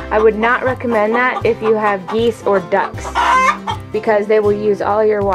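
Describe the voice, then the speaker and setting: With clear music in the background, a woman keeps a moderate pace as she speaks. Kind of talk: casual tour narration. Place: farm machine. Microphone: phone near.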